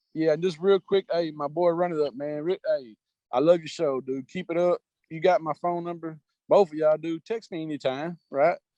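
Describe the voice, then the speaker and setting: A man with a Southern US accent talks at a moderate pace in a fairly high pitch, his tone dark and mellow. His loudness swings widely, and the sound is dry and close with no echo. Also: fairly even intonation. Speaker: sports betting handicapper. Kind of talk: casual chat.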